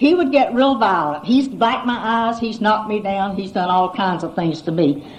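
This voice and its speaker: Talking at a moderate pace with hardly any pauses, a woman with a fairly high pitch uses lively intonation amid noticeable background noise and audible room echo. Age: 70s. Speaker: AA speaker. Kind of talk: testimony.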